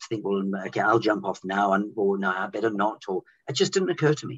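Over a quiet background, a man talks at a very fast pace with lively intonation and a somewhat breathy voice. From Zimbabwe. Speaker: former cruise ship musician. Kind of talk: interview answer. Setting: video call. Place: home room.

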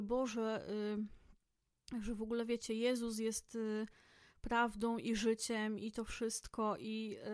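This woman's voice sits at a fairly high pitch. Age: 30s. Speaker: podcast host. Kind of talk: solo book review monologue. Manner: casual, frequent fillers.

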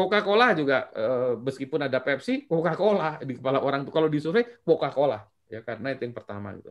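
Over a quiet background, a man with a fairly high voice talks at a very fast pace, his pitch swinging very widely. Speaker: lecturer and startup practitioner presenting a book; lecturer. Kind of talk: online book discussion presentation. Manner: animated. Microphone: webcam.

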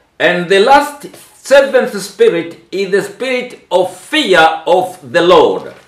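Speaking very slowly, a man uses lively intonation and a high pitch. Audible room echo fills the quiet background. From Tanzania. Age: 70s. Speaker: bishop and ministry leader; church minister. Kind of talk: interpreted religious teaching. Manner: halting. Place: home room. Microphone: camera far.

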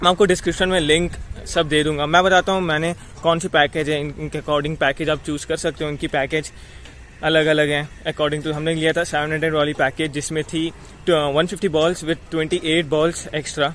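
Over light background noise, a man talks at a moderate pace in a monotone, flat intonation, and the sound is dry with no echo. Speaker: vlogger. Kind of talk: casual vlog chat. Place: open country. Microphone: phone near.

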